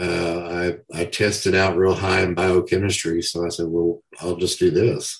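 Speaking at a moderate pace with a Southern US accent, a man uses a very deep, low pitch and a monotone, flat intonation. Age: 60s. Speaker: professional wrestler. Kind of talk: casual interview.

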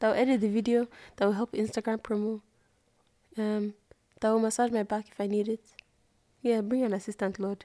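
Her voice fairly high, a woman speaks in a dark, mellow tone with monotone, flat intonation and long, frequent pauses, the sound dry and close with no echo. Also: moderate pace, very clean recording, silent background. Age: 20s. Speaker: podcast co-host. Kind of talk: casual chat.

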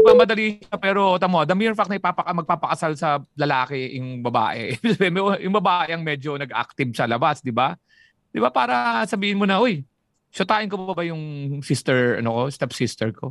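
With a Filipino accent, a fairly high-pitched man speaks at a moderate pace with lively intonation, recorded very cleanly against a silent background with a dry, close sound and no echo. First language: Tagalog. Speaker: comedian. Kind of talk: casual chat.

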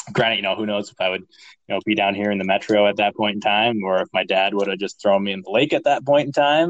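In a normal speaking voice, a man with an American accent talks at a fairly quick pace and a fairly low pitch. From northern Minnesota. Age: 30s. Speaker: real estate entrepreneur. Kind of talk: interview.

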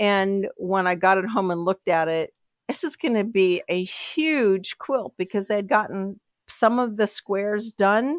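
In a dry, close sound with no echo, a woman of medium pitch speaks at a fairly slow pace with ordinary pitch variation in a normal speaking voice. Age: 60s. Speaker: quilter and podcast listener. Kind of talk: interview.

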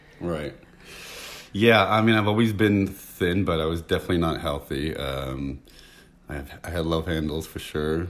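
With an American accent, a man speaks at a moderate pace in a very deep, low voice with vocal fry. His tone is nervous and his pitch varies in an ordinary way. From San Francisco, US West Coast. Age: 40s. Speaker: guest. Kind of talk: casual chat.

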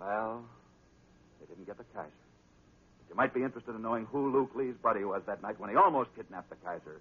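A man talks at a fairly quick pace with a fairly low pitch, lively intonation and a slightly husky edge.

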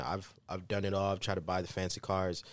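A man with an American accent speaks at a fairly quick pace in a normal speaking voice, fairly low in pitch, on a very clean recording with a silent background. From US Midwest, Kansas City, Missouri. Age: 20s. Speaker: podcast co-host. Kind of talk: casual chat.

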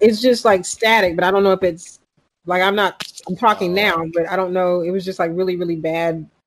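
This woman has a normal speaking voice with an American accent and a medium pitch. She talks at a fairly quick pace with fairly even intonation. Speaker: stand-up comedian.

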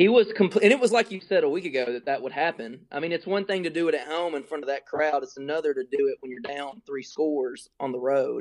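The pace is very fast. There are hardly any pauses. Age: 20s. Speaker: co-host, Tennessee fan. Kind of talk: casual sports banter.

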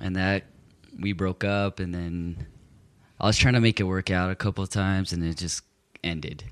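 A man with an American accent speaks at a very deep, low pitch. He leaves long, frequent pauses on a very clean recording with a silent background. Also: fairly even intonation, moderate pace, dry, close sound with no echo. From Southern California (Gardena, near Compton). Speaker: interview guest sharing faith story. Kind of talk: casual interview, personal testimony. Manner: halting, filler-heavy.

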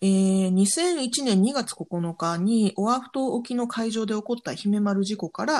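Fairly high in pitch and somewhat breathy, a woman speaks in a very clean recording with a silent background. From Japan. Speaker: podcast host. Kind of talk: news digest with casual commentary.

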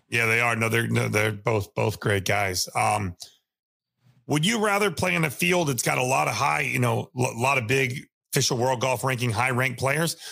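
The voice has vocal fry and a bright, sharp tone, moving at a moderate pace with lively intonation. Loudness stays very even on a very clean recording with a silent background. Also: man, medium pitch for a man. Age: 30s. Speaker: golf podcast host. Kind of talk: interview.

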